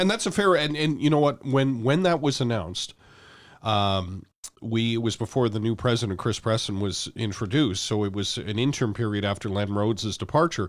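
In a very clean recording with a silent background, a man with a Canadian accent and an unremarkable speaking voice talks fairly quickly at a medium pitch with lively intonation. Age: 50s. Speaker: sports radio host and former football communications staffer. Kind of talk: casual interview.

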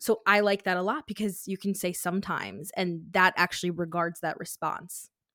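Bright and sharp in tone, a woman speaks with fairly even intonation and hardly any pauses. The recording is very clean and dry, close with no echo, over a silent background. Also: medium pitch for a woman, moderate pace. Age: 20s. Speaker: life coach. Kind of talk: casual chat.

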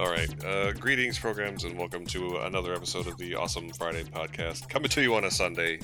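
Music plays in the background as a gravelly man with a very deep, low pitch talks at a fairly quick pace with lively intonation. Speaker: podcast host. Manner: low-energy, smooth radio-style delivery.

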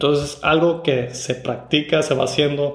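Somewhat breathy and fairly high-pitched, a man speaks at a moderate pace in a monotone, flat intonation with audible room echo. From Mexico, Tijuana. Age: 30s. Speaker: podcast host. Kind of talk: solo podcast monologue. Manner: halting, with fillers and repeated words.

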